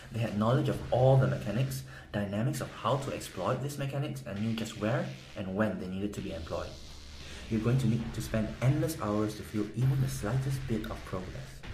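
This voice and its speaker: Lively intonation and a fairly quick pace carry this speech in a Korean accent, with audible room echo. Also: man, medium pitch for a man. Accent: Korean accent, somewhat. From South Korea. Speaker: gaming guide promoter. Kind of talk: sales pitch. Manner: animated.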